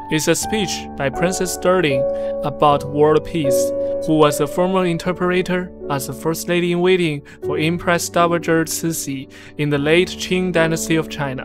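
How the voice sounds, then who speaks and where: Over background music, a man talks at a moderate pace with ordinary pitch variation. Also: fairly high pitch for a man. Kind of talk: casual channel narration.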